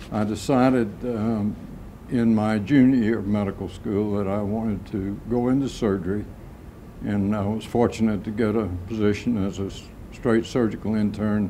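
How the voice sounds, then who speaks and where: A man with an American accent and a dark, mellow tone speaks at a moderate pace and fairly low pitch, his intonation fairly even, with audible room echo. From US South, Atlanta, Georgia. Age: 80s+. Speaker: retired vascular surgeon. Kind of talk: oral history interview. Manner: halting, many fillers.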